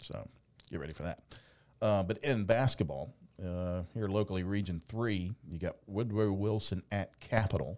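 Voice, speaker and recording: Using an ordinary speaking voice, the man talks at a moderate speed, his pitch fairly low and varying in a normal way. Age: 50s. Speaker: podcast host and sports announcer. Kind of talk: casual sports chat. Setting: studio.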